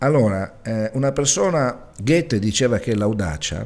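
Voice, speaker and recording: A man speaks at a fairly slow pace. His pitch moves in very wide swings. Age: 40s. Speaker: web TV producer and interviewer; interviewer. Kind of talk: TV interview. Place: studio. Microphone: studio mic.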